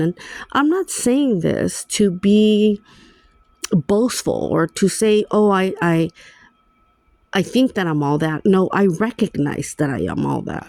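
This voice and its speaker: A woman with a non-native accent and medium pitch talks at a fairly slow pace with lively intonation, in a dry, close sound with no echo. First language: Spanish. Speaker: vlogger. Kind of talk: personal vlog monologue.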